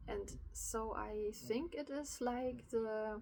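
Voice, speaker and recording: A woman with a German accent speaks at a fairly high pitch in a dark, mellow tone with ordinary pitch variation, and audible room echo surrounds her voice. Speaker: spiritual vlogger. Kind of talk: personal reflection monologue. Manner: halting, many fillers.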